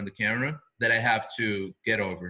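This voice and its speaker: A man's bright, sharp voice with a non-native accent, very wide pitch swings and a moderate pace. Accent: noticeable foreign. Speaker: video marketing business owner. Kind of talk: interview.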